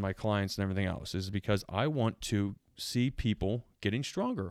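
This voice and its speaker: In an ordinary speaking voice, a man with a fairly low pitch talks at a moderate pace and fairly even intonation, the sound dry and close with no echo on a very clean recording with a silent background. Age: 30s. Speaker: podcast host and strength coach. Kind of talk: casual monologue.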